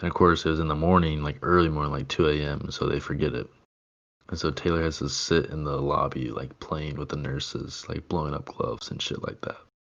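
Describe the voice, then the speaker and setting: Using fairly even intonation, a man with a very deep, low pitch talks at a fairly quick pace. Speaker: podcast co-host. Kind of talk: casual chat. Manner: many filler words.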